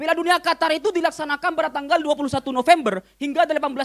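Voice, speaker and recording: In a quiet background, a man talks with an animated tone, an extremely high pitch, and ordinary pitch variation. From Madura, Indonesia. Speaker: stand-up comedian. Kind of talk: stand-up comedy. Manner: animated, punchy delivery with crowd-baiting pauses; switches into fast mock-Arabic gibberish. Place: cafe. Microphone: handheld.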